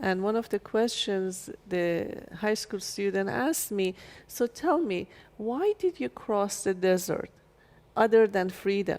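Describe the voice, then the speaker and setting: A woman with a Persian accent speaks at a medium pitch and a fairly slow pace, with lively intonation. Her speech has long, frequent pauses. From Iran, Shiraz. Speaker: chiropractor and author. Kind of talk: interview.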